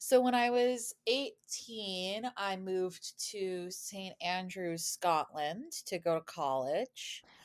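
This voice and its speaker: Speaking very slowly with hardly any pauses, a woman with an American accent uses lively intonation at a medium pitch, her sound dry and close with no echo. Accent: American, described as NPR voice. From US, Boston suburb, Massachusetts. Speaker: podcast guest, former study-abroad student, YouTuber. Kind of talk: casual interview chat.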